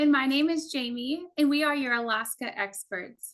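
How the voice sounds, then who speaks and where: Her accent is Texan and her pitch high. The woman speaks at a moderate pace with ordinary pitch variation. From Texas. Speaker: cruise tour director. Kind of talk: travel presentation. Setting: online virtual event.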